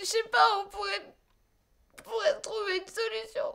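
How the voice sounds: Using a put-on character voice, a woman speaks extremely high with vocal fry, a fairly bright tone, little pitch movement and a moderate pace.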